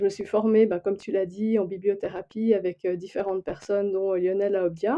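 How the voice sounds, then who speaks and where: A woman speaks with a slight Swiss French accent. Her pitch is medium and her pace moderate. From Switzerland. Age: 40s. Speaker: human design coach and librarian. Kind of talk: podcast interview. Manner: hesitant, many fillers.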